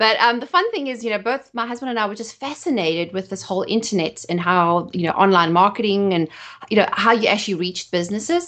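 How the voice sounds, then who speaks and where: A woman with a South African accent speaks very fast in a fairly high voice with lively intonation. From South Africa, Johannesburg. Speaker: photographer and marketing expert. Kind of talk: podcast interview.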